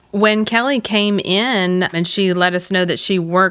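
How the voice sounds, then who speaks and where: A woman's voice with ordinary pitch variation in a very clean recording, silent background. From Canada. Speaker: hair stylist and salon owner. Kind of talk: podcast interview. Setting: studio.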